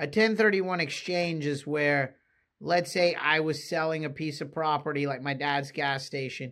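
Over a quiet background, a man speaks at a moderate pace. His pitch is fairly high. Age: 40s. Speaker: podcast host, real estate investor. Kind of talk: solo podcast monologue.

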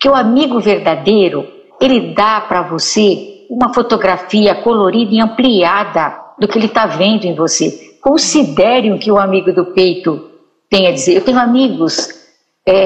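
A woman speaks in a medium pitch at a moderate pace. Her loudness stays very even. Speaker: psychologist, writer and teacher. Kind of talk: talk show conversation. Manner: quiet at times.

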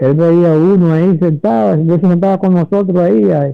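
A man speaks in a high voice. His intonation is lively. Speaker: veteran journalist. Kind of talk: interview. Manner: halting.

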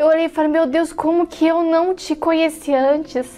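A woman speaks at a fairly slow pace. There is noticeable noise in the background. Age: 20s. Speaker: church member. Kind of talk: testimony.

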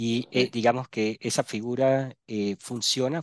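With a plain, everyday voice, a man speaks at a medium pitch with fairly even intonation. The sound is dry and close with no echo, over a quiet background. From Panama (born Barranquilla, Colombia). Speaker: entrepreneurship specialist. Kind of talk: interview.

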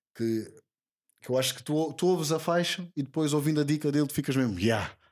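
This man talks at a moderate pace in a fairly high voice with ordinary pitch variation, on a very clean recording with a silent background. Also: long, frequent pauses. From Portugal, Lisbon (Lumiar). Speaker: rapper. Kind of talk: casual interview.

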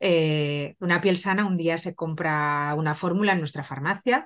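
A woman's fairly low-pitched voice, an ordinary speaking voice, at a moderate pace with ordinary pitch variation against a quiet background. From Spain. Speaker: pharmacist and cosmetics brand founder. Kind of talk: interview.

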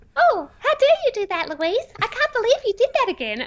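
Pitched extremely high, a put-on character voice moves at a moderate pace. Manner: sarcastic; lip-curling, scornful.

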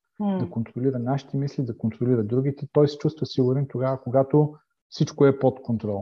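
A man speaks at a fairly quick pace in a medium pitch, his voice somewhat breathy and his pitch variation ordinary. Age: 50s. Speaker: life coach and former pastor. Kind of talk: interview. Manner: halting.

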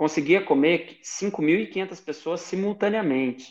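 The man's voice is high-pitched, with lively intonation. He speaks at a fairly slow pace. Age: 20s. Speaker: Paralympic table tennis athlete. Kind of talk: interview. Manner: halting, frequent repetitions.

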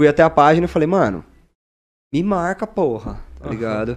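A man talks at a very fast pace, his pitch swinging very widely. The background is quiet. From Paraná, Brazil (Mandaguaçu, near Maringá). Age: 20s. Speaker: social media content creator. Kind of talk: casual podcast interview. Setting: studio. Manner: animated.

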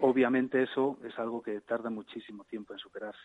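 Fairly quick, monotone, flat delivery in a dry, close sound with no echo. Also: man. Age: 50s. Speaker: emergency physician. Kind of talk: radio interview. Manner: halting.

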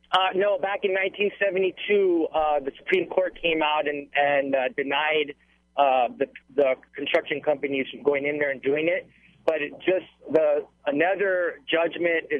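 A man speaks at a fairly slow pace in a plain, everyday voice. His pitch is fairly high, with ordinary pitch variation. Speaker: caller. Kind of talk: phone call to radio show. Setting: phone call.

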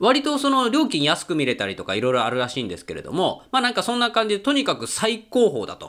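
Talking at a very fast pace with hardly any pauses, the speaker sounds animated, with very wide pitch swings and big swings in loudness. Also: man, high pitch for a man. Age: 30s. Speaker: podcast host and film reviewer. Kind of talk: casual solo monologue.

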